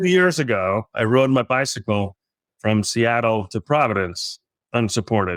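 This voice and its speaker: A man at a medium pitch uses lively intonation and a moderate pace, the sound dry and close with no echo. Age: 60s. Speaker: philanthropist and business leader. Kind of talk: interview. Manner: halting, many restarts.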